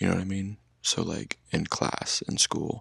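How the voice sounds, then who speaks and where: A man speaks at a moderate pace with a very deep, low pitch and vocal fry. The sound is dry and close, with no echo. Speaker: ASMR content creator. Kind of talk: casual talk to camera. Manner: unedited, chatty, conversational.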